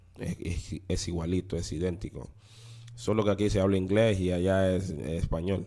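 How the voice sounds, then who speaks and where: A man speaks in a very deep, low pitch. His pace is fairly slow, with ordinary pitch variation. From Honduras, city-raised, Garifuna family. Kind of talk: testimony. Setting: studio. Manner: animated.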